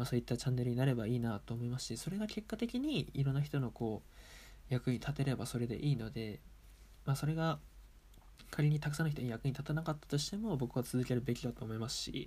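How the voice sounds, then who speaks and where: At a very fast pace, a man talks in a somewhat breathy, dark, mellow voice of medium pitch with ordinary pitch variation. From Japan, Aomori Prefecture. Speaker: table tennis player and podcaster. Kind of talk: casual solo talk.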